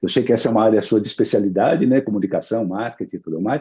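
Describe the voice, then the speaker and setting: A man speaks with vocal fry. His tone is dark and mellow. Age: 60s. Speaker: insurance executive, longevity specialist. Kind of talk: interview.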